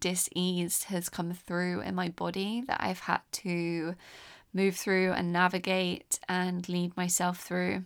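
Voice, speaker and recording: A woman with a southern English accent speaks at a very slow pace. The recording is very clean, the background silent. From England (London, English countryside). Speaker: podcast host. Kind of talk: personal storytelling monologue. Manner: gentle, reflective.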